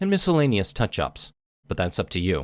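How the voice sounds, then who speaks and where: Vocal fry marks this medium-pitched man's voice, captured with a dry, close sound with no echo on a very clean recording with a silent background. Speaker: game modder. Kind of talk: software tutorial narration.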